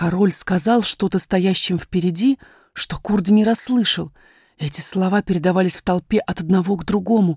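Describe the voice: Plain reading aloud makes up this recording.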